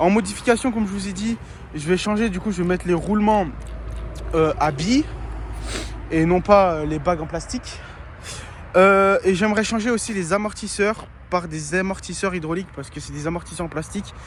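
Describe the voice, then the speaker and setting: A man with a high pitch talks at a moderate pace, with ordinary pitch variation. He leaves long, frequent pauses over noticeable background noise. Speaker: RC hobbyist YouTuber. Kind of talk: casual video presentation. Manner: hesitant, many fillers.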